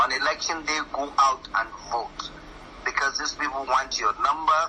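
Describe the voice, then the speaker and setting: There is noticeable background noise throughout. A man talks at a fairly slow pace. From northern Nigeria, Katsina. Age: 60s. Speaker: professor. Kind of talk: radio interview. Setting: radio studio. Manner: animated.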